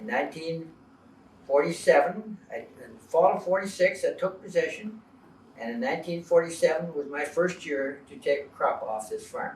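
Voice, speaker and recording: At a moderate pace, the speaker uses lively intonation and big swings in loudness over noticeable background noise. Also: man, high pitch for a man. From Ontario, Canada (Toronto Township, now Mississauga). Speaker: retired farmer. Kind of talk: interview, personal recollection. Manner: hesitant, many fillers.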